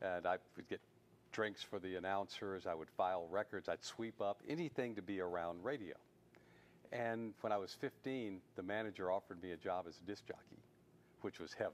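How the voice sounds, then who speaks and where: In a Southern US accent, a man speaks at a moderate pace, his fairly low pitch varying in an ordinary way. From US South, Mississippi. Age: 70s. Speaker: television producer and writer. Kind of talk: interview.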